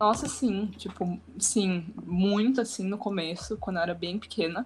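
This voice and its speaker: This woman's voice is medium in pitch and somewhat breathy. Her pitch varies an ordinary amount. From São Paulo state, Brazil. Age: young. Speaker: student and social media influencer. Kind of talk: casual podcast chat.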